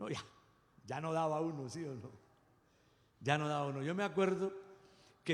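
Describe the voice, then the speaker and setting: With audible room echo, a man talks at a moderate pace in a fairly high pitch, his intonation lively and his tone animated. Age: 60s. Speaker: pastor. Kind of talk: sermon.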